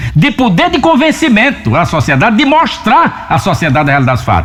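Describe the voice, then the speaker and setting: Very wide pitch swings at a moderate pace, over noticeable background noise. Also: man. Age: 70s. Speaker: radio broadcaster and journalist. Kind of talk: opinion monologue. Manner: impassioned.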